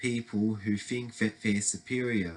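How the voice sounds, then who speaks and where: A man with an Australian accent amid noticeable background noise. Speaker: political commentary vlogger. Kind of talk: opinion monologue. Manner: halting.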